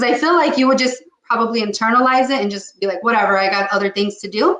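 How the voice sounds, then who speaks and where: Her tone is animated and her pace very fast. The woman speaks at a fairly high pitch with ordinary pitch variation. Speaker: psychic medium. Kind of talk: psychic reading.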